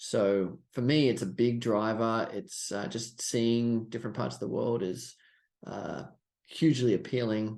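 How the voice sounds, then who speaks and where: With an Australian accent, a man talks at a fairly slow pace, a medium pitch and ordinary pitch variation. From Australia, Sydney. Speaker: stock trader and trading coach. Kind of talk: podcast interview.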